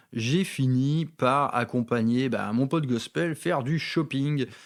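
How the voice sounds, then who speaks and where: Heard on a very clean recording with a silent background, a man speaks with a slight northern French accent and ordinary pitch variation. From northern France, Valenciennes. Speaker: wargaming hobby youtuber. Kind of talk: casual monologue, personal anecdotes. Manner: hesitant, many fillers and repetitions.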